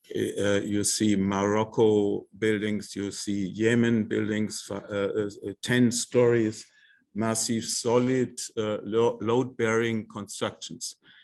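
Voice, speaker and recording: A man with a non-native accent talks very slowly. His fairly low voice stays monotone and flat. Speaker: architect. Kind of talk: lecture. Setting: lecture hall with audience. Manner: halting.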